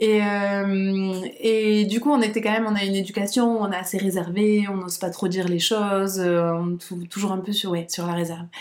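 With audible room echo and noticeable background noise, a woman talks at a moderate pace and medium pitch, keeping her intonation fairly even. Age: 30s. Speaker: founder of a perinatal centre. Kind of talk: casual interview. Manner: hesitant, many fillers and repetitions.

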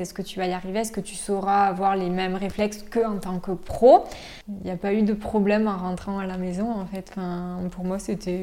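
Flat, monotone intonation carries a dark, mellow tone throughout. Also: woman. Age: 20s. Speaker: nurse. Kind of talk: testimony.

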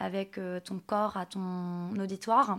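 A woman speaking on a very clean recording, with total silence behind her. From France, Nantes. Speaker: image coach. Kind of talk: interview.

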